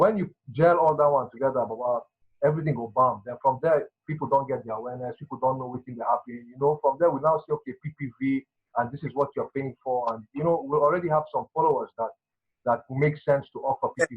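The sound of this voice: At a fast pace, a man talks at medium pitch with a slightly husky edge and ordinary pitch variation.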